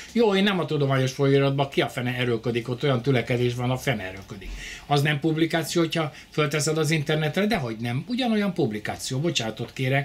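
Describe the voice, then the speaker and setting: A man with a fairly high pitch and a somewhat breathy voice rushes along at a very fast pace with lively intonation and hardly any pauses. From Hungary. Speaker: lecturer on fringe physics theories. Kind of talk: lecture with audience questions. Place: home room. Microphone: camera far.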